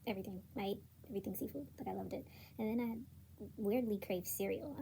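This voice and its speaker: A woman talks at a very fast clip in a medium pitch. Her tone is dark and mellow, with vocal fry. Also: ordinary pitch variation. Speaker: new mother, vlogger. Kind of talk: casual talk to camera. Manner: upbeat, energetic.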